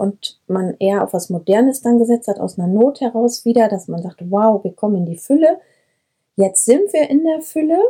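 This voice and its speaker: At a moderate pace, a woman talks in a fairly high, somewhat breathy voice with a dark, mellow tone and lively intonation. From Breckerfeld, Ennepe-Ruhr-Kreis, western Germany. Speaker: herbalist and kindergarten teacher. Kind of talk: interview. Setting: shepherd's wagon in herb garden.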